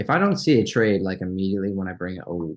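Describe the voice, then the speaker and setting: A man with a very deep, low pitch talks at a fairly quick pace, his pitch showing ordinary variation. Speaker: stock trading youtuber. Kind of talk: live trading watchlist commentary. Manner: fast; casual, halting with fillers.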